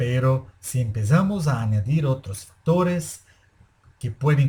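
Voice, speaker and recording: In a Brazilian accent, a man speaks at a very slow pace and medium pitch, with lively intonation, a dark, mellow tone and a somewhat breathy quality. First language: Portuguese (speaking Spanish). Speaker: anesthesiologist. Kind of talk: lecture. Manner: formal.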